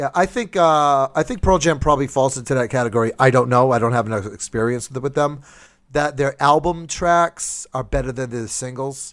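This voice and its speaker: Speaking at a fairly quick pace in a normal speaking voice, a man with a medium pitch and ordinary pitch variation is heard on a very clean recording with a silent background. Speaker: comedy podcast host. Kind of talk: casual comedy chat. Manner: laughs often, joking.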